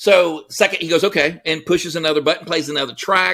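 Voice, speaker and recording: Loud and with a bright, sharp tone, a man with an American accent and high pitch speaks at a fairly quick pace with fairly even intonation, on a very clean recording with a silent background. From Texas. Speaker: entrepreneur. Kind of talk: casual chat. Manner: fast.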